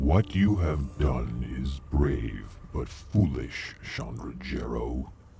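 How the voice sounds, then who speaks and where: Clear music plays behind a man doing a put-on character voice. He growls at a very slow pace in a very deep, low pitch. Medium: video game. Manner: solemn, measured.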